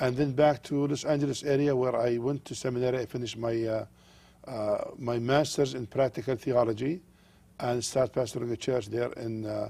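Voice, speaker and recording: Speaking with an Arabic accent, a man has a dark, mellow tone and fairly even intonation. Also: medium pitch for a man, moderate pace, very clean recording, silent background. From Jordan. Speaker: pastor. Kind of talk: TV interview. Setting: studio.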